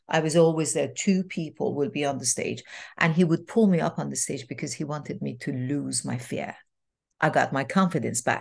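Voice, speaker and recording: A woman with a very deep, low pitch and vocal fry speaks at a moderate pace. The background is quiet. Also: ordinary pitch variation. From Iran. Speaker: transformational coach and speaker. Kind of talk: interview storytelling. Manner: animated.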